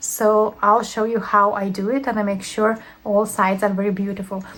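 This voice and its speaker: This speaker has a Lithuanian accent and talks at a moderate pace. There is noticeable background noise. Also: woman. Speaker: crochet teacher. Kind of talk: tutorial. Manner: hesitant, many fillers.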